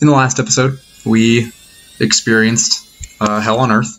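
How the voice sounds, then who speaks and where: The voice is quiet, with noticeable background noise. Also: man. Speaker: gaming youtuber. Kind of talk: let's play commentary. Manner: quiet, subdued.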